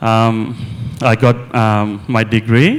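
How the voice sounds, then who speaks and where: A man speaks with a Sri Lankan accent. His pitch sits in the medium range. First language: Sinhala. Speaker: mental health nurse and property investor. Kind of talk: on-stage interview. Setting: conference stage with audience. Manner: halting, many fillers.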